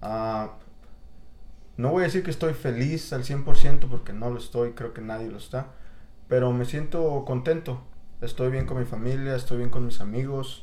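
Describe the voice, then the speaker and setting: A man at a medium pitch with a fairly slow pace, fairly even intonation, long, frequent pauses, big swings in loudness and audible room echo. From Mexico City area. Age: 30s. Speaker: guest. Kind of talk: casual chat.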